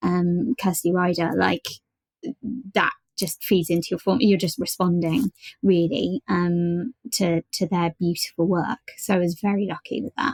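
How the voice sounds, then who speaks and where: A woman with a British accent, fairly low-pitched and somewhat breathy, at a fairly slow pace with ordinary pitch variation, the sound dry and close with no echo. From Britain. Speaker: voice actor. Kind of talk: podcast interview. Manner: hesitant, many fillers and repeats.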